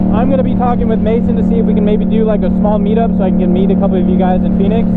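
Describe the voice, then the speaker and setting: Words come from a man at a very fast pace. Audible room echo and noticeable background noise fill the recording. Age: 20s. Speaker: motorcycle vlogger. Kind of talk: casual vlog talk.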